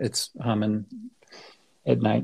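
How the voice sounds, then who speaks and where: This man's voice, with an American accent, is somewhat breathy. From San Francisco Bay Area, US. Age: 60s. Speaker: architect. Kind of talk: interview conversation. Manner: halting, many fillers and restarts.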